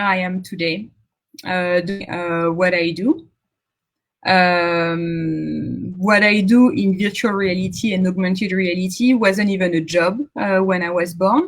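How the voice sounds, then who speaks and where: Very slowly and somewhat breathily, a woman speaks at a medium pitch with a French accent. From central France. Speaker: tech founder. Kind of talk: conference talk. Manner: halting.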